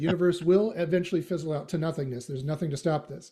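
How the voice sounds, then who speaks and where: A man with a slight Canadian accent, high-pitched with a dark, mellow tone, a very fast pace and ordinary pitch variation. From Western Canada. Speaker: AI philosopher and SEO consultant. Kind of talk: casual interview chat. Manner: many fillers and restarts.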